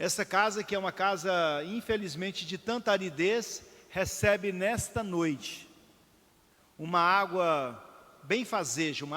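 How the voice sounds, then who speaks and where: On a very clean recording with a silent background, a man speaks fairly slowly in a high, bright, sharp voice with ordinary pitch variation. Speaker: city councillor presiding over ceremony. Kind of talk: ceremonial closing speech. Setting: city council chamber.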